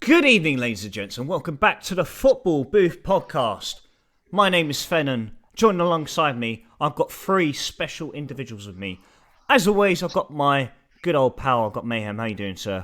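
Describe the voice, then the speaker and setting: A man with a Welsh accent speaks at a moderate pace in a fairly high voice, with very wide pitch swings and big swings in loudness. The recording is very clean, with a silent background. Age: 30s. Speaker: podcast host. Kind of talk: casual chat.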